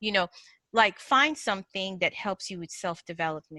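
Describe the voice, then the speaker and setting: A woman with a Nigerian accent speaks at a moderate pace and medium pitch, her bright, sharp, animated tone showing ordinary pitch variation. The recording is very clean and dry, close with no echo and a silent background. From northern Nigeria. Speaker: agile coach and mindset speaker. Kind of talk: podcast interview.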